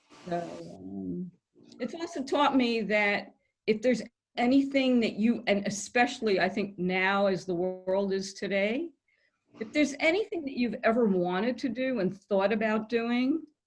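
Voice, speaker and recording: A woman speaks at a moderate pace with lively intonation and a fairly high pitch. Her voice is somewhat breathy. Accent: American. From New York. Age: 70s. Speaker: comedian. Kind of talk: guest talk to a club meeting.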